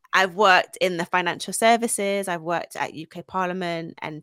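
In a London accent, the speech moves at a moderate pace with ordinary pitch variation, on a very clean recording with a silent background and a dry, close sound with no echo. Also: woman. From London, England (North London, Essex). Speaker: founder and CEO of a women's careers agency. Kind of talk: interview, casual chat.

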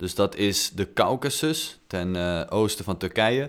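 Recorded very cleanly against a silent background, a man with an ordinary speaking voice talks fairly slowly at a fairly low pitch. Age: 20s. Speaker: podcast co-host. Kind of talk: casual chat.

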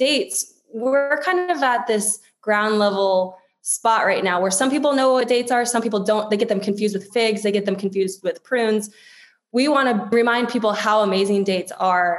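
A fairly high-pitched woman at a moderate pace, with very even loudness and ordinary pitch variation. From US East Coast, DC area. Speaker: marketing executive. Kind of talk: interview.

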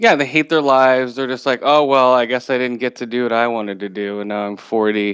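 At a fairly quick pace with hardly any pauses, a man talks in a normal speaking voice at a medium pitch with fairly even intonation. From US West Coast. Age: 40s. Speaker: podcast host. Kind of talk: casual chat.

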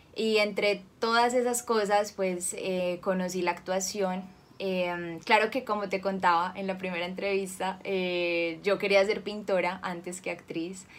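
A woman speaks fairly slowly, and her intonation is monotone and flat. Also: medium pitch for a woman. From Colombia, Cali. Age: 20s. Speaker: actress. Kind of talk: interview.

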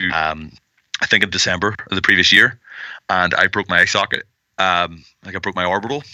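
In a Northern Irish accent, a man talks at a moderate pace with fairly even intonation. His pitch is very deep and low, and his tone is bright and sharp. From Northern Ireland. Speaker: professional wrestler. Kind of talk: interview.

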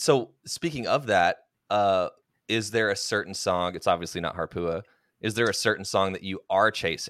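A man's fairly low-pitched, unremarkable speaking voice at a moderate pace, with ordinary pitch variation, a dry, close sound with no echo, and a very clean recording with a silent background. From Oklahoma. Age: 30s. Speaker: podcast host. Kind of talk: casual chat.

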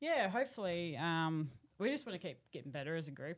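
A woman's fairly low voice in an Australian accent, at a fairly quick pace. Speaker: cricket captain. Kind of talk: casual interview.

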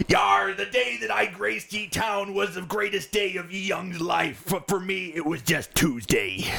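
Putting on a character voice, a man talks at a high pitch and a moderate pace with hardly any pauses while faint music plays in the background.

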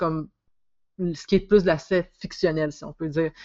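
At a moderate pace, a woman talks at a fairly low pitch with fairly even intonation. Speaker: podcast host and psychosocial worker. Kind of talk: casual interview conversation.

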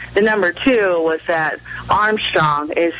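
Over noticeable background noise, a woman with an American accent and a fairly low pitch speaks at a very slow pace. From Southern California, Orange County. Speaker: women's college basketball coach. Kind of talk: radio interview.

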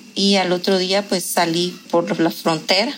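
Words come out at a very slow pace, and the pitch varies in an ordinary way. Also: woman. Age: 40s. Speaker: lawyer. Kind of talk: interview testimony.

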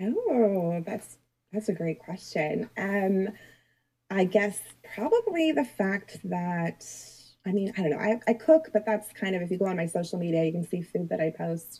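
At a moderate pace, a woman speaks with an unremarkable speaking voice. Her pitch is medium, with ordinary pitch variation. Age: 40s. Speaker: author. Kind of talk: interview. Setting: live online interview.

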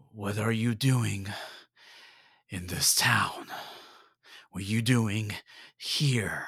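A man puts on a gruff character voice at a medium pitch. He goes at a very slow pace, with long, frequent pauses. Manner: suspicious, confronting.

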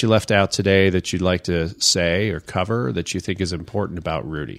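An ordinary speaking voice at a fairly quick pace, on a very clean recording with a silent background. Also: man. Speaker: podcast host and real estate instructor. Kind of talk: casual interview.

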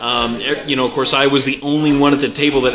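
A man speaks at a very fast pace with a medium pitch and monotone, flat intonation over noticeable background noise. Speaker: podcast host. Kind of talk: casual podcast chat. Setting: brewery, recording live with guests.

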